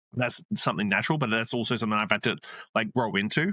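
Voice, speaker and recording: The sound is dry and close with no echo against a quiet background. A man talks at medium pitch in a bright, sharp tone. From Australia, rural. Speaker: bartender and hospitality entrepreneur. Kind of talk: casual interview. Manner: fast, casual with many fillers.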